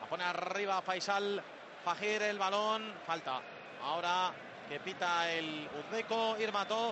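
A man talks in a high voice with fairly even intonation. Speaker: match commentator. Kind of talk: live play-by-play sports commentary. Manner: fast, rattling off passes and players' names in a breathless running patter.

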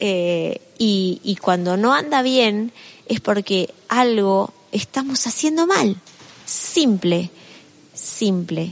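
Very slow pace from a woman in a Rioplatense accent, medium pitch and lively intonation, with noticeable background noise. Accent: Argentine Rioplatense Spanish. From Argentina. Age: 50s. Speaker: author and motivational speaker. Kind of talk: interview.

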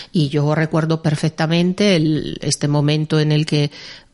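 With an Italian accent, a woman talks at a fairly slow pace in a very deep, low pitch, her tone dark and mellow and her intonation monotone and flat. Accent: Italian-tinged Spanish. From Milan, Italy. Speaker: music publisher. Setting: studio.

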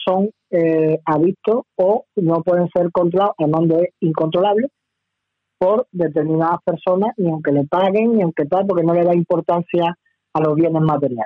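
The man's voice sits at a high pitch with ordinary pitch variation. His pace is moderate. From Bilbao, Basque Country, Spain. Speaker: lawyer. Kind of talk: radio interview. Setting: phone call.

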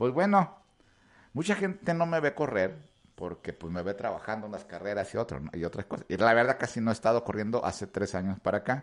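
A man with an unremarkable speaking voice talks at a fairly quick pace. His pitch is fairly low and his intonation lively. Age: 40s. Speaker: radio show host and runner. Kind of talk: casual chat.

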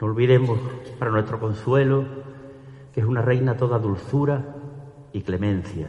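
There is noticeable background noise as a man speaks at a fairly quick pace in a solemn tone. His pitch is medium, with ordinary variation. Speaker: ceremonial orator. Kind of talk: ceremonial oratory: solemn, devout pregón addressed to the Virgin and the congregation. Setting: church with audience. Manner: formal, solemn and fervent, measured pace with reverent, emotional delivery.

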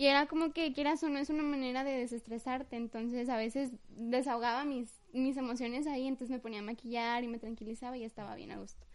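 A woman with a slight Mexico City accent talks very fast at a high pitch, with fairly even intonation and hardly any pauses. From Mexico City and Tapachula, Chiapas. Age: young. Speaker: guest, host's girlfriend. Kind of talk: casual chat.

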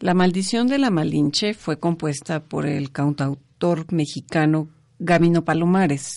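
A woman's fairly low, dark and mellow voice with ordinary pitch variation at a very slow pace over a quiet background. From Mexico. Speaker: radio co-host. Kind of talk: casual chat; scripted narration.

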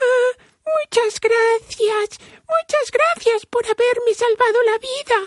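In a put-on character voice, a squeaky, extremely high pitch crawls along at a very slow pace. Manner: grateful.

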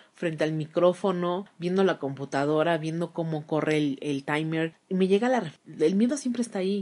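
An ordinary speaking voice at a moderate pace, with ordinary pitch variation and hardly any pauses. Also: woman, fairly low pitch for a woman. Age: 30s. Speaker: podcast host and journalist. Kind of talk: solo monologue.

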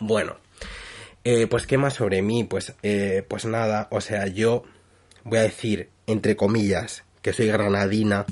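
Very slow, monotone, flat delivery from a man with a fairly low pitch against a quiet background. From Spain. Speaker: podcaster. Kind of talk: casual monologue.

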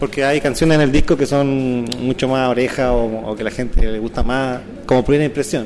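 Over noticeable background noise, a man with a medium pitch speaks at a fairly quick pace with fairly even intonation. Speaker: saxophonist and clarinetist in a band. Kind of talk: interview. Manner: halting, many fillers and repetitions.

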